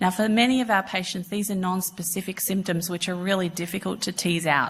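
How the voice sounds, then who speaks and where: The recording is very clean with a silent background, carrying a woman's fairly low voice. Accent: Australian. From Australia. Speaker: cardiologist, cardiac imaging specialist. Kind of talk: conference lecture. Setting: conference stage with audience. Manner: hesitant, many fillers.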